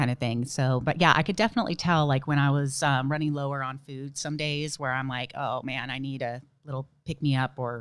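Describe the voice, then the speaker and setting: A woman's very deep, low voice with an American accent at a fairly quick pace, fairly even intonation, and a very clean recording with a silent background. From southern California. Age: 30s. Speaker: ultramarathoner and nurse. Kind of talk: casual interview.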